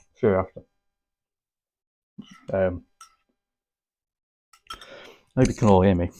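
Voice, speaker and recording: Over music in the background, a man talks at a very slow pace in a fairly low pitch. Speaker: vlogger.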